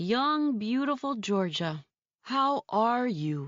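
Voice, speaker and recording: A female-sounding put-on character voice, pitched fairly high. She speaks at a very slow pace. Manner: booming, theatrical.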